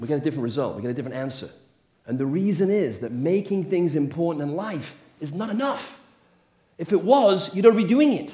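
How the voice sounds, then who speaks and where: A man with an English accent talks very fast in a high voice, with very wide pitch swings, big swings in loudness and audible room echo. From England. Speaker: motivational speaker. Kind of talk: motivational talk.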